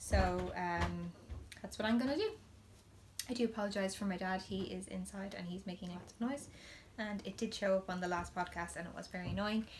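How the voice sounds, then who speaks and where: The speaker moves at a fairly quick pace. Background noise is noticeable. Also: woman. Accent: Irish. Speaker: knitting podcaster. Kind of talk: casual chat. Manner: loud.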